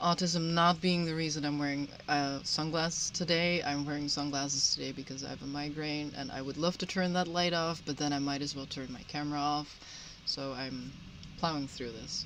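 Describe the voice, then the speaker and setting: A woman with a Dutch accent speaks at a fairly quick pace. Her very deep, low voice stays monotone and flat. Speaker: podcast panelist. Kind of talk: casual chat. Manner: halting.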